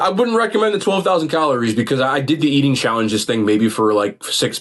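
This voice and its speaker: Talking at a very fast pace, a man with an American accent makes very wide pitch swings. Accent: New Jersey accent, noted by viewers. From New Jersey, Bergen County (Garfield). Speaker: food content creator. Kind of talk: podcast interview.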